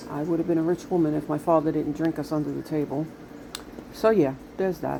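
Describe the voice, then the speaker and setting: A woman with a Brooklyn accent talks very fast in a very deep, low pitch with fairly even intonation. Noticeable background noise is present. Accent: New York (Brooklyn). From Brooklyn, New York City. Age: 60s. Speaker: vlogger. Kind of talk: casual monologue vlog.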